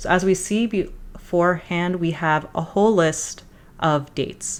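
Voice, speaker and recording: A woman with a normal speaking voice, fairly low in pitch, at a moderate pace. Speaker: data analytics educator. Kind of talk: tutorial.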